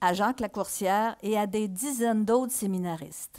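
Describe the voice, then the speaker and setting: At a fairly slow pace, a woman with a fairly high pitch speaks in a dark, mellow tone. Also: quiet background. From Quebec, Mauricie (Shawinigan); Quebec. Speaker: historical novelist. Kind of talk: reading aloud. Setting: stage with audience. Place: stage. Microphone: headset.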